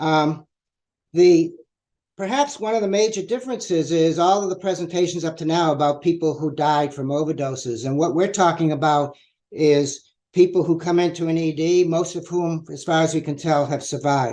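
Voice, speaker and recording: In an American accent, a man speaks with a dark, mellow tone at a moderate pace. His pitch varies in an ordinary way. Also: fairly high pitch for a man. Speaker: researcher. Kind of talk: presentation. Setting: virtual public meeting.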